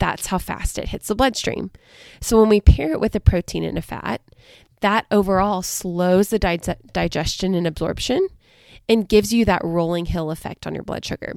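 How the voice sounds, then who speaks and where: A woman with an American accent and a normal speaking voice, medium pitch, ordinary pitch variation, moderate pace, and a dry, close sound with no echo. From US South, coastal southern Alabama. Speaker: dietitian and podcast host. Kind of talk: solo educational podcast talk.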